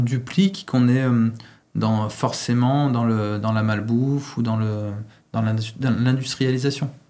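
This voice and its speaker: A man speaks fairly slowly at a medium pitch, his intonation fairly even. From France, Lyon. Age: 40s. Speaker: pizza chef and franchise owner. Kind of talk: interview. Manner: hesitant, many fillers.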